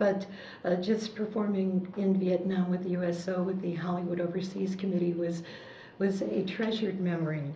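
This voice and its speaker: Noticeable background noise runs under the voice. Audible room echo is present. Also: woman, medium pitch for a woman, fairly even intonation, moderate pace. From US Midwest, Chicago. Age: 60s. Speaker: war veteran, former entertainer. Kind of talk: oral history interview. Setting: library.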